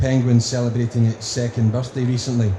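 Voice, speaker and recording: A man talks with a strong Scottish accent. Audible room echo and noticeable background noise are present. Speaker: conference speaker on marketing. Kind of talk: conference presentation.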